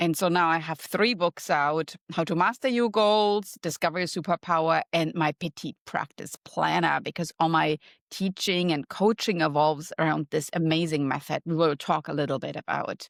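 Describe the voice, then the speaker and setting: The speaker has a German accent and talks at a moderate pace with hardly any pauses and ordinary pitch variation. The recording is very clean, with a silent background and a dry, close sound with no echo. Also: woman, fairly low pitch for a woman. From Germany. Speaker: marketing professor and wellness coach. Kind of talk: podcast interview.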